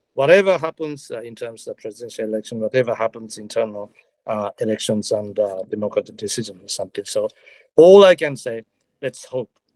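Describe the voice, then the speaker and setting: A man speaks with a Japanese accent at a fairly quick pace. His pitch varies in an ordinary way. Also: dry, close sound with no echo. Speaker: retired diplomat. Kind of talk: panel talk. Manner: halting, many fillers.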